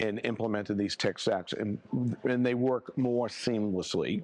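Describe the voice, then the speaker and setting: A man with a fairly low pitch and fairly even intonation, in an unremarkable speaking voice. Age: 60s. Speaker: accounting firm owner. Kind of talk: podcast interview. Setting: live at a conference.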